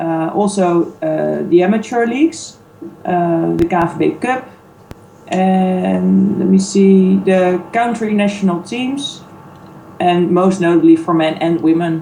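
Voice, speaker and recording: With music playing in the background, a woman with a Dutch accent and a fairly low voice speaks fairly slowly. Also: ordinary pitch variation. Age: 30s. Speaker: sports league manager. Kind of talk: interview. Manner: hesitant, many fillers.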